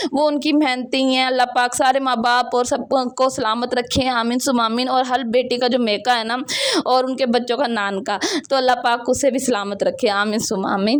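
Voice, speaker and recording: Her voice is high and monotone, with flat intonation. The woman speaks at a moderate pace over noticeable background noise. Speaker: home vlogger. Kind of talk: vlog voice-over. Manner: loud.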